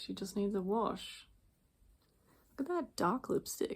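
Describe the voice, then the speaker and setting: Quiet and somewhat breathy, a woman talks at a moderate pace with a fairly high pitch and very wide pitch swings. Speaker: doll collector vlogger. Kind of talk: casual chat.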